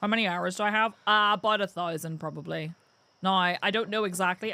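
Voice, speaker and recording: The recording is very clean, with a silent background. A woman talks at a medium pitch and a fairly quick pace in a bright, sharp tone. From Northern Ireland. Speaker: gaming streamer. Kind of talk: live gameplay stream chat. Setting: live stream. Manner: casual, chatty.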